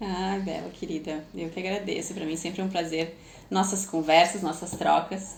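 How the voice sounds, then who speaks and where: Amid audible room echo, a woman in a strong gaúcho accent speaks in a fairly low pitch with monotone, flat intonation. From southern Brazil, Porto Alegre. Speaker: former professional ballet dancer and PBT tutor. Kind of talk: podcast interview.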